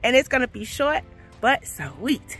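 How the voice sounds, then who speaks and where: A woman speaks at a fairly slow pace in a dry sound with no echo, with faint music in the background. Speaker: gardening vlogger. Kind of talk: casual vlog chat. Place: garden. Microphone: phone near.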